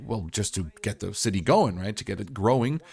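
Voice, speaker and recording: This man speaks at a medium pitch with a somewhat breathy quality. His pitch swings very widely. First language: not English. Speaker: gaming YouTuber. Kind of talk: game tutorial commentary. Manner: casual, upbeat.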